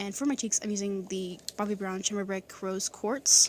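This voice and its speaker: The woman's voice sits at a medium pitch. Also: very clean recording, silent background. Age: 20s. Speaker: beauty vlogger. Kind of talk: tutorial. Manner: fast.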